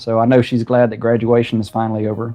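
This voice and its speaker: In a Southern US accent, a man talks at medium pitch with monotone, flat intonation. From South Carolina. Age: 50s. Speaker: home cook and aspiring farmer. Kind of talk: casual live-stream chat. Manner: halting, many fillers.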